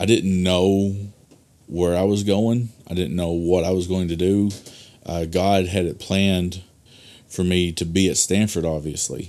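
In an Arkansas accent, a man with a very deep, low pitch and a dark, mellow tone speaks at a fairly slow pace with monotone, flat intonation. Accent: Southern US (Arkansas). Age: 30s. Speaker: pastor. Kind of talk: casual interview chat. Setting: studio.

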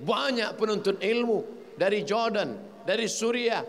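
Amid audible room echo, a man with a high pitch talks at a moderate pace. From Riau, Sumatra, Indonesia. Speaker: Islamic preacher. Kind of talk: religious lecture. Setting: mosque.

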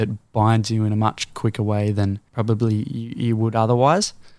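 Speaking fairly quickly with an Australian accent, a man keeps a fairly low pitch and monotone, flat intonation. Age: 18. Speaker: singer-songwriter. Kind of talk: casual interview.

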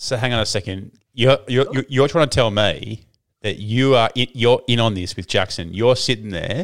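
A man with an Australian accent, medium in pitch, at a fairly slow pace. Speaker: podcast host. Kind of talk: casual chat. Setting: video call. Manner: animated.

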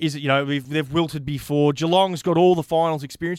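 Very fast speech comes from a man with a fairly high pitch and ordinary pitch variation. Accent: Australian. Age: 30s. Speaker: sports podcast host. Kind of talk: casual chat.

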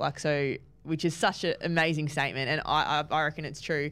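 A woman with an Australian accent and a very deep, low pitch talks at a fairly quick pace in a very clean recording with a silent background. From New South Wales, Australia. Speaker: footballer hosting team podcast. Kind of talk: casual interview.

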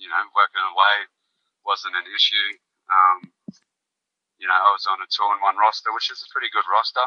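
A man with an Australian accent speaks at a fairly quick pace, with big swings in loudness and long, frequent pauses. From rural Queensland, Australia. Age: young. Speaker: musician and charity founder. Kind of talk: casual interview chat.

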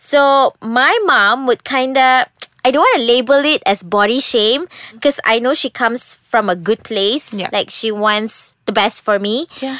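Loud and bright with a sharp tone, a woman with a Malaysian accent speaks at a fairly slow pace in a high pitch with ordinary pitch variation, the sound dry and close with no echo. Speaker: podcast host. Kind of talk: casual chat.

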